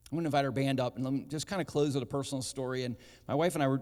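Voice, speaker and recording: A man with a medium-pitched voice talks at a very fast pace. The recording is very clean, with a silent background. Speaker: pastor. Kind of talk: sermon.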